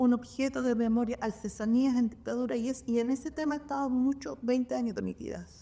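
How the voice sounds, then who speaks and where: Her voice is high in pitch for a woman, with a dark, mellow tone. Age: 60s. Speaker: kindergarten director. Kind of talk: panel discussion. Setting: public library event with audience. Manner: halting.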